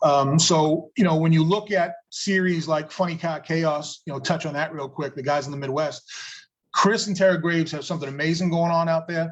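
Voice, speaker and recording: The man's pitch sits fairly high. He talks at a fairly quick pace with fairly even intonation. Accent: slight New England. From New England, Massachusetts. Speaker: drag racing promoter. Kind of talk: casual interview chat.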